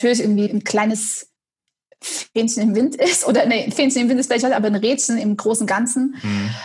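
A woman's fairly high voice, with very even loudness and fairly even intonation. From Saxony, eastern Germany (Dresden). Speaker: head of marketing. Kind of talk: interview. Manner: hesitant, many fillers.

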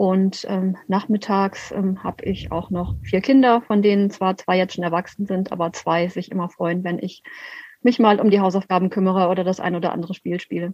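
A woman speaks in a plain, everyday voice at a medium pitch. Her intonation is fairly even and her pace moderate. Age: 50s. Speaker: city councillor and local party chair. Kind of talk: interview. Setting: video call.

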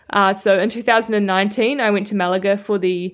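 Against a quiet background, a woman with a New Zealand accent speaks at a medium pitch in a monotone, flat intonation. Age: young. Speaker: professional road cyclist. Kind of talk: interview.

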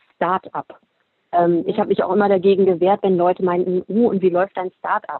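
This woman has a plain, everyday voice at a medium pitch. Her intonation is fairly even. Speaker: fashion entrepreneur. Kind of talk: casual interview.

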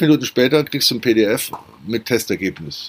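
The man's intonation is lively throughout. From Germany. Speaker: podcast host. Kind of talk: casual monologue. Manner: animated.

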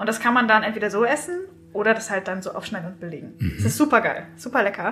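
A woman talks very fast at a fairly high pitch, her loudness swinging widely. Noticeable background noise is present. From southern Germany, Swabia near Stuttgart. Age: 30s. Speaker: author and copywriter. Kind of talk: casual chat.

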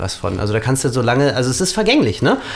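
A man delivers his words very fast, his pitch sitting in the medium range. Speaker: podcast co-host. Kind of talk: casual chat.

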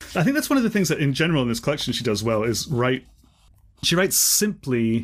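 A man with an unremarkable speaking voice talks at a fairly quick pace in a medium pitch. His intonation is lively. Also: very clean recording, silent background. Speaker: podcast host, writer and teacher. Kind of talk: casual literary discussion.

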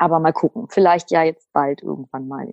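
The voice has vocal fry and ordinary pitch variation at a moderate pace. The recording sounds dry and close, with no echo. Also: woman. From Lower Saxony, Germany. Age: 30s. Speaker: single seeking a partner. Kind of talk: interview. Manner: talkative.

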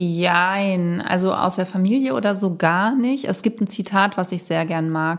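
On a very clean recording with a silent background, a woman with an ordinary speaking voice talks at a fairly slow pace in a medium pitch with ordinary pitch variation. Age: 40s. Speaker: self-employed content creator. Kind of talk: interview.

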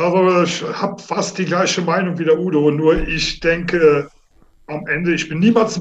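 With ordinary pitch variation, a man speaks high in pitch at a moderate pace. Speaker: amateur football player and coach. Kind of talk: interview. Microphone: unstable line, tinny satellite sound.

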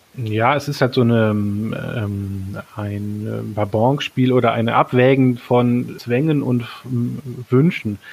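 Very slow speech with fairly even intonation over noticeable background noise. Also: man, medium pitch for a man. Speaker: teacher. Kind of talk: interview. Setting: remote call.

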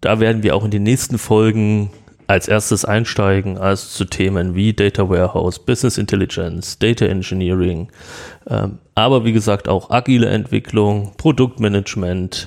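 On a very clean recording with a silent background, a man with an unremarkable speaking voice talks at a moderate pace and fairly low pitch, his intonation fairly even and his loudness very even. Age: 30s. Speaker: podcast host, IT entrepreneur. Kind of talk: podcast introduction monologue.

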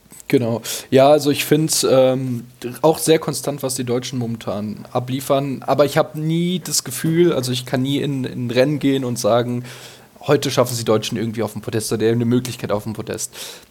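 A man speaks fairly quickly in a medium pitch, keeping his intonation fairly even. Noticeable background noise is audible throughout. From Hesse, near Darmstadt, Germany. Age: 20s. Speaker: listener guest, ski fan. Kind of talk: casual chat. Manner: halting, many fillers.

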